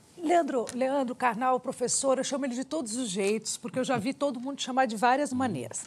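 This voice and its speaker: A woman talks with hardly any pauses, her high voice moving through an ordinary amount of pitch variation. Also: fairly quick pace. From Brazil. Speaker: TV interviewer. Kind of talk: interview. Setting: studio. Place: studio. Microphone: lapel.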